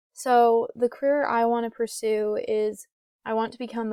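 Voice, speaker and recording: A woman speaks at a fairly high pitch in a flat, monotone way. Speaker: student. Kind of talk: class presentation.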